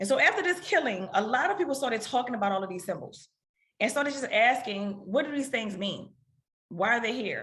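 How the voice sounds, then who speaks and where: With a New Orleans accent, a woman talks at a fairly quick pace in a fairly high pitch, her tone bright and sharp and her intonation lively, with audible room echo around her. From US South, New Orleans. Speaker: economics researcher. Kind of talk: lecture.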